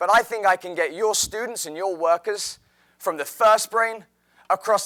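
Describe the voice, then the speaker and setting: A man with an English accent projects a raised voice at a high pitch, with a bright, sharp tone and a dry, close sound with no echo. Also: very clean recording, silent background. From England, outside London. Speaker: teacher. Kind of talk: presentation talk.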